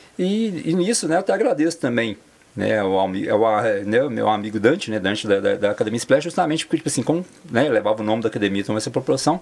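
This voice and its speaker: Lively intonation drives a man's speech at a very fast pace. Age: 40s. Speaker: personal trainer and amateur sports organizer. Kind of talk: interview. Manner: halting, many fillers.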